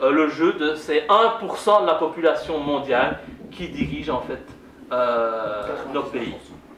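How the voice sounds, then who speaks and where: The speech moves at a very slow pace with lively intonation, recorded with audible room echo and noticeable background noise. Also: man. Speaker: politician. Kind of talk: public lecture. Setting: conference hall with audience. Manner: loud.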